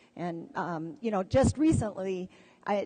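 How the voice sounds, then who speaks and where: In an American accent, a woman with a medium-pitched voice speaks at a moderate pace against a quiet background. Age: 60s. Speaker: dog musher and marathon runner. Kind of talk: panel discussion. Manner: halting, many fillers.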